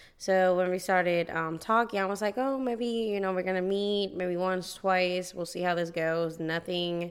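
A woman with a Puerto Rican accent talks at a moderate pace and a fairly low pitch. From Puerto Rico. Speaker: teacher, podcast co-host. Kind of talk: casual chat.

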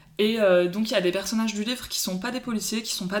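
Noticeable background noise behind a woman speaking with fairly even intonation. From Paris, France. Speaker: book Instagram account holder. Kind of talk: casual chat.

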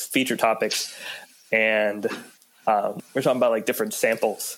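The man speaks in an American accent and keeps a fairly slow pace. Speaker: student podcast host. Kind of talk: casual chat.

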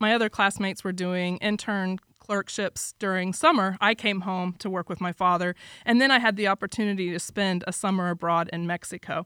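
Talking at a fairly quick pace, a woman at medium pitch uses a plain, everyday voice with ordinary pitch variation, the sound dry and close with no echo and the recording very clean over a silent background. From Florida, US. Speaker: immigration lawyer. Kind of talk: interview.

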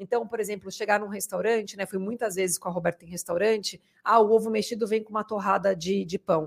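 The woman speaks very fast at a medium pitch with fairly even intonation. Her sound is dry and close, with no echo. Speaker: podcast co-host. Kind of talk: casual interview chat. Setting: studio.

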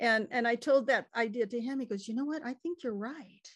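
A normal speaking voice with an American accent. The pace is moderate and the pitch variation ordinary. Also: woman. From California. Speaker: cookbook author and chef. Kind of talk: casual interview chat. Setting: video call.

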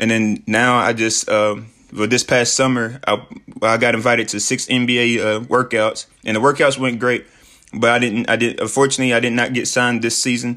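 Talking at a fairly quick pace in a Southern US accent, a man keeps a monotone, flat intonation with a bright, sharp tone at medium pitch. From US South, Tennessee. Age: 20s. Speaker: motivational podcaster. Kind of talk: motivational talk. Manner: casual, many fillers.

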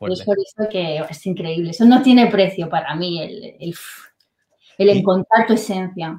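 A woman's somewhat breathy, dark and mellow voice at a medium pitch, at a moderate pace. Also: ordinary pitch variation. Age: 30s. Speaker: online business entrepreneur, former dental clinic salesperson. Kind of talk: interview.

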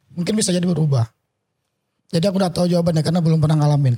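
A man speaks with a dark, mellow tone at a fairly high pitch, his intonation fairly even. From Tanjung Selor, North Kalimantan. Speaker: musician. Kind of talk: casual chat. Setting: studio.

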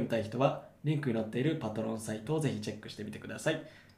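A medium-pitched man at a very fast pace, with audible room echo. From Japan, Yokohama. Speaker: podcast host. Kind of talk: scripted outro; casual chat.

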